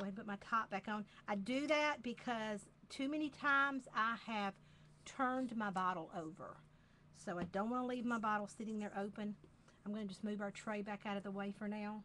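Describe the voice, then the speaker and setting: A bright, sharp tone with an American accent, fairly quick in pace and with ordinary pitch variation. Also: woman, fairly high pitch for a woman. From US South, Georgia. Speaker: craft demonstrator. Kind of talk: tutorial. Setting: live video stream.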